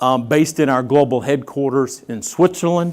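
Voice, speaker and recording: Speaking fairly quickly with a Texan accent, a man has a fairly high pitch. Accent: Texan, noticeable. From Texas. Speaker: company executive. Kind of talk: conference speech.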